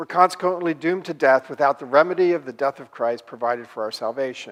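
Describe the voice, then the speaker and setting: This man has a normal speaking voice at a fairly high pitch with ordinary pitch variation. He speaks at a fairly quick pace. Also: very clean recording, silent background. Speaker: professor. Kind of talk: lecture.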